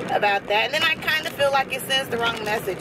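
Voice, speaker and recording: A woman speaks with noticeable background noise. The sound is dry, with no echo. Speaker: vlogger. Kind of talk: casual vlog chat. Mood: opinionated, reflective. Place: car. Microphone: phone near.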